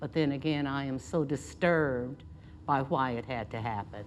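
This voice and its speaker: A woman speaks in a very deep, low pitch with ordinary pitch variation. Her pace is fairly slow, and she has an American accent. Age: 80s+. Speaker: retired volunteer at a cultural center. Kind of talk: interview testimony.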